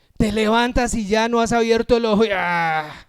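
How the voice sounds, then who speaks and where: On a very clean recording with a silent background, a man talks at a fairly slow pace in an animated tone with ordinary pitch variation. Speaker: pastor. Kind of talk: sermon.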